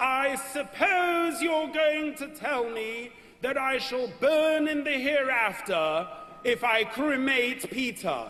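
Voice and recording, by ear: Using a put-on character voice, a man talks at a very slow pace with an extremely high, shrill pitch.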